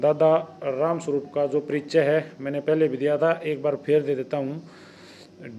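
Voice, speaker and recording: A man speaks at a fairly high pitch with monotone, flat intonation and hardly any pauses. Noticeable background noise runs under his voice. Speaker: YouTube interviewer. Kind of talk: channel intro to camera.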